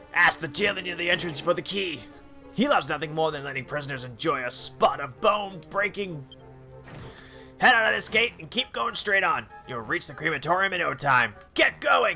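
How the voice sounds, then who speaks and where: Putting on a character voice, a man speaks at a high pitch and a moderate pace with clear music in the background. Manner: sinister, gleeful.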